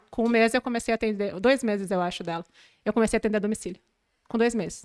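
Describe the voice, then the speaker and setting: Dry and close with no echo, a woman's fairly high voice moves at a very fast pace with fairly even intonation. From southern Brazil, Porto Alegre area. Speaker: manicure. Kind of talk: podcast interview.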